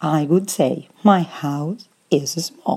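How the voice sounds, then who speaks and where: This woman has a very deep, low pitch and a dark, mellow tone, speaking with a Spanish accent. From Argentina. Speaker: Spanish teacher. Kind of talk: language lesson. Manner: clear, didactic.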